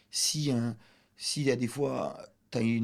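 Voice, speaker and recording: This man's medium pitch and fairly even intonation come through on a very clean recording with a silent background. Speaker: comedian. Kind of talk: casual chat.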